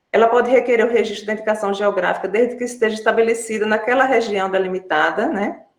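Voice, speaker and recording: A woman delivers her words fairly quickly, pitched fairly high, with fairly even intonation. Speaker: business support analyst. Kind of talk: webinar presentation. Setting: online live video call. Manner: fast; halting with fillers.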